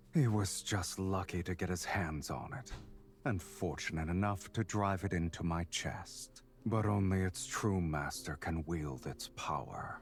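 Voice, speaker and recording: A man's put-on character voice, very deep and low, at a moderate pace with clear background noise. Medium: video game. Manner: low, slow, seductive and mocking.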